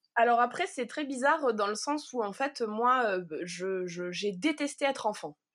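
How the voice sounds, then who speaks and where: A woman's fairly high voice with lively intonation at a fairly slow pace. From Provence, southern France. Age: 30s. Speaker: wool artist. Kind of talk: casual interview. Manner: halting.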